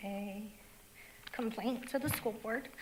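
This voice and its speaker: Her voice is shaky, fairly high-pitched and flat in intonation, and this woman is heard over noticeable background noise. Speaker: parent, public commenter. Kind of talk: public comment speech. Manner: shaky voice.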